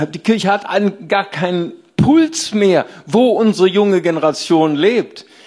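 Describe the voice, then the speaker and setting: The voice has an animated tone and moves at a fairly slow pace. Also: man. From Rhineland, Germany. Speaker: pastor. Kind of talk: sermon.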